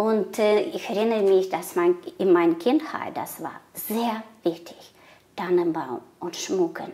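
Speaking very slowly, a woman with a Russian accent keeps to a medium pitch. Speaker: migrant guest; guest. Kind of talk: casual interview. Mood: warm, animated. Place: home room. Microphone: lapel.

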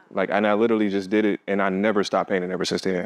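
A man with an American accent speaks at a fairly low pitch. The background is quiet. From Detroit, Michigan, US; Michigan. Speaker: visual artist; interviewee. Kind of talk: interview. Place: hall.

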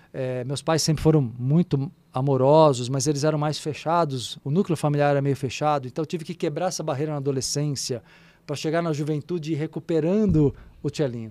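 A man speaks fairly quickly in a fairly high voice. His tone is dark and mellow, with fairly even intonation. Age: 50s. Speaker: spiritual therapist and radio host; podcast guest. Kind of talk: casual chat. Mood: calm, explanatory. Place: studio. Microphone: studio mic.

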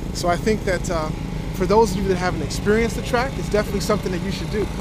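A very fast pace in a dry sound with no echo, over loud background noise. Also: man. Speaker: motovlogger. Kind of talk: casual vlog chat. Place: open country. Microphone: phone near.

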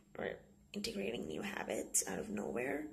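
A woman at a fairly slow pace, over light background noise. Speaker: vlogger. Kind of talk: casual vlog chat. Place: bathroom. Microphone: phone near.

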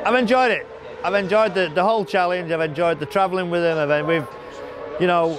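Delivered at a very fast pace with ordinary pitch variation, the speech has a dry sound with no echo and noticeable background noise. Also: man, high pitch for a man. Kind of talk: interview answer. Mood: enthusiastic, reflective. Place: street. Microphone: lapel.

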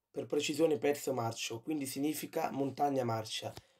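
A man's fairly high voice has a dark, mellow tone and fairly even intonation. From Rome, Italy. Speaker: YouTuber. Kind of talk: informative video monologue. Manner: hesitant, frequent fillers.

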